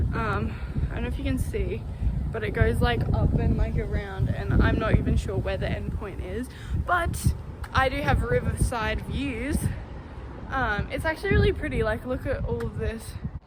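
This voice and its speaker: A woman with an Australian accent at a moderate pace, with audible room echo and noticeable background noise. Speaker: vlogger. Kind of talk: travel vlog. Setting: outdoors. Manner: loud.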